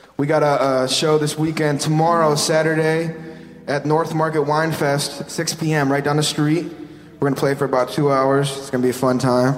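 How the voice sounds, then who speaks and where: Over noticeable background noise, a man with a fairly high pitch talks at a moderate pace in a flat monotone. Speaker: band singer. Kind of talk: casual radio interview. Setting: radio studio.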